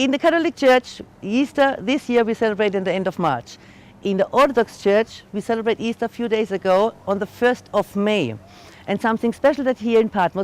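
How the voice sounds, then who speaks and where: A fairly quick, fairly high female voice with a German accent and lively intonation. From Germany. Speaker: tour guide. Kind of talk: guided tour talk. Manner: halting.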